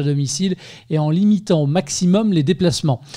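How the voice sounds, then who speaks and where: A man talks at a fairly quick clip in a high pitch. His tone is dark and mellow. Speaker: podcast host, interviewer. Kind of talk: podcast intro narration.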